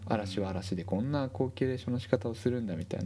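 Fairly quick speech, somewhat breathy. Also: man. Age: 40s. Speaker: healthcare worker and gaming podcast co-host. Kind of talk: casual chat.

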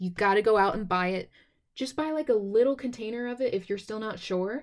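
With an American accent, a woman speaks at a fairly high pitch in a plain, everyday voice on a very clean recording with a silent background. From Texas. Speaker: podcast host. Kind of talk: casual solo podcast talk.

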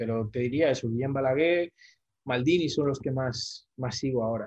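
A man's medium-pitched, somewhat breathy voice with a dark, mellow tone, at a fairly quick pace. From Spain. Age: 40s. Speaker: football social media commentator. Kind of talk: casual interview chat.

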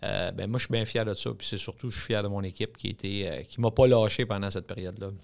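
On a very clean recording with a silent background, a man talks fairly quickly at a fairly low pitch with ordinary pitch variation and hardly any pauses. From Quebec (Drummondville). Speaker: restaurant chain executive. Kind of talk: interview. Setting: studio.

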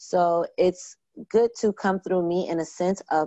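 This woman has an unremarkable speaking voice, pitched fairly low, with an American accent. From New York (Brooklyn, Long Island). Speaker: event planner and producer. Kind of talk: casual interview.

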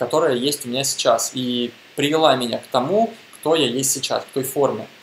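Noticeable background noise is present as a man talks. His voice is fairly high in pitch, at a moderate pace. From Russia, Bashkortostan (Neftekamsk). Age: 20s. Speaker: podcaster on mindfulness. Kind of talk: monologue talk.

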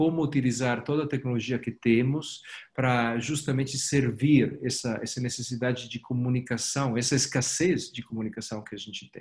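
Somewhat breathy and medium in pitch, a man talks at a moderate pace. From Italy. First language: Italian (speaking Portuguese). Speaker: company executive. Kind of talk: interview. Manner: halting, many repetitions and fillers.

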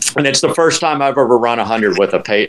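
Noticeable background noise is present throughout. Over it, a man talks with an American accent. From Central Florida. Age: 60s. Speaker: ultramarathon runner. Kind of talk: casual chat. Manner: halting.

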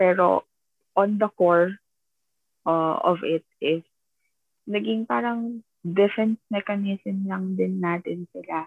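With long, frequent pauses, a woman speaks at a very slow pace. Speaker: podcast co-host. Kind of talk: casual chat. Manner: halting, hesitant.

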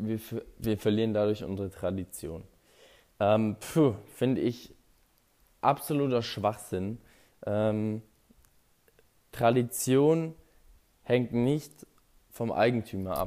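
With long, frequent pauses, a man speaks at a very slow pace in a dark, mellow tone. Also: medium pitch for a man, ordinary pitch variation. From Augsburg, Bavaria, Germany. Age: 20s. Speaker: football fan podcaster. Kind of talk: casual fan podcast Q&A.

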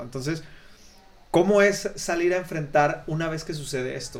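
A man speaks with ordinary pitch variation. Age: 30s. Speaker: podcast host. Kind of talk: casual interview chat. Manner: halting, many repetitions.

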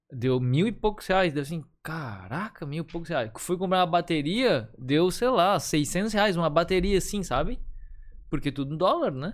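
On a very clean recording with a silent background, a man with a high pitch talks at a moderate pace, using lively intonation and big swings in loudness. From Florianópolis, southern Brazil. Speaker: advertising photographer. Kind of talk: casual chat.

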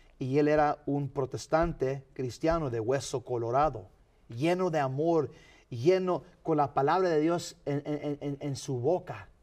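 Over a quiet background, a man with an unremarkable speaking voice talks at a fairly slow pace, his fairly high pitch showing ordinary variation. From Los Angeles County, California (San Fernando), Mexican parents. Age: 50s. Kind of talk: interview.

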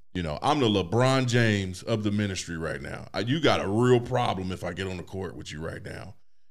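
A man talks at a fairly quick pace in a plain, everyday voice, his pitch fairly low. His intonation is lively, with big swings in loudness. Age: 40s. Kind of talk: casual chat.

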